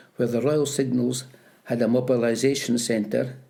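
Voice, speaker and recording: With vocal fry and a dark, mellow tone, a man speaks at a fairly slow pace with fairly even intonation and audible room echo. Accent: Scottish Borders. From Scotland, Peebles (Scottish Borders). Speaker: retired postmaster and army veteran. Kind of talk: oral history interview. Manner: halting.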